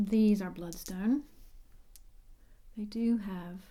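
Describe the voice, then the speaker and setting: Soft-spoken delivery at a very slow pace, with an American accent. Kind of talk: ASMR ramble to camera.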